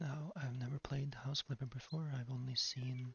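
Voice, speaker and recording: Soft-spoken and somewhat breathy, a man talks at a moderate pace and medium pitch with fairly even intonation. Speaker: ASMR creator. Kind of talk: ASMR gaming commentary.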